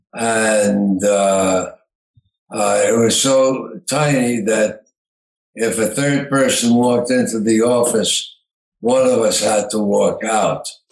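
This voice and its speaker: Very slowly, a man talks with fairly even intonation and very even loudness, with audible room echo. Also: medium pitch for a man. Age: 90s. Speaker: retired entrepreneur. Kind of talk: interview. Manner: halting, many fillers.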